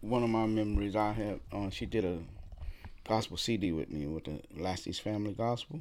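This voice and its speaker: A man with a New Orleans accent speaks at a moderate pace with lively intonation. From New Orleans, Louisiana. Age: 60s. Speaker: professional drummer. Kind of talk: interview conversation.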